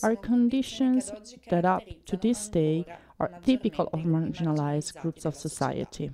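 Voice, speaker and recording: Noticeable background noise sits behind a woman with an Italian accent who speaks at a moderate pace, her fairly low voice carrying lively intonation. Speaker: activist and researcher. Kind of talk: lecture; panel discussion.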